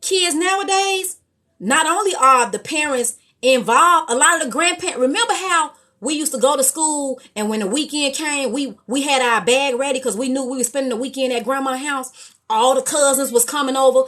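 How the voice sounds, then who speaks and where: A woman speaks loudly in a high pitch with an American accent, her tone bright and sharp. Her delivery is animated, with lively intonation. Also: fairly quick pace. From Chicago. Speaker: live stream host. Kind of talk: live stream chat.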